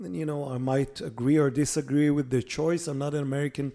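This man speaks with an Israeli accent, his pitch fairly high and his intonation fairly even. His tone is dark and mellow, and the recording is very clean with a silent background. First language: Hebrew. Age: 50s. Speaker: political journalist and policy fellow. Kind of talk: interview.

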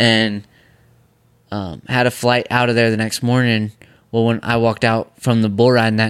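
Very clean with a silent background, the recording has a man speaking quietly at a fairly quick pace in a monotone, flat intonation. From New York. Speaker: professional bull rider. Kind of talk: casual chat. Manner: quiet, reserved.

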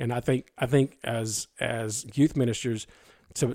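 At a moderate pace, a man speaks with medium pitch and fairly even intonation, in a dry, close sound with no echo. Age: 40s. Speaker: pastor. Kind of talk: interview. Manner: halting, with many repetitions.

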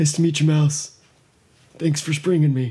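A man puts on a character voice with a fairly high pitch. His intonation stays monotone and flat at a moderate pace. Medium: actual play. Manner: laughs a lot, rambling.

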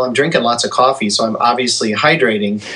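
Noticeable background noise behind a man at medium pitch, his pitch moving in an ordinary way. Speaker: worship leader and vocal trainer. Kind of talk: casual chat.

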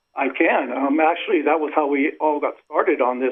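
In a plain, everyday voice, a man with an American accent speaks at a moderate pace and a fairly high pitch. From Western Pennsylvania. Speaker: army veteran and business owner. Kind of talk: radio interview. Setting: phone call.

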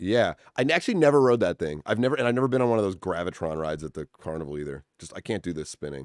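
A very fast, very deep, low-pitched male voice with an American accent, hardly any pauses, very wide pitch swings, big swings in loudness and a dry, close sound with no echo. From Massachusetts (Winchester, near Boston). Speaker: musician and composer. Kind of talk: casual chat.

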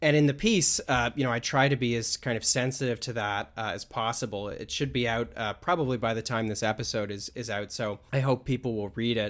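This man has a plain, everyday voice at a medium pitch, speaking at a fairly quick pace with fairly even intonation and hardly any pauses. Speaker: podcast host. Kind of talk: casual conversation.

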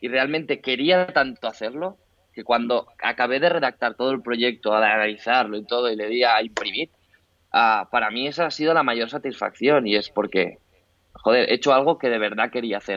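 This man's voice sits at a medium pitch that shifts in an ordinary way. He keeps his delivery at a moderate speed. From Spain, Barcelona. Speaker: fitness trainer. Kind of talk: interview. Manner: halting.

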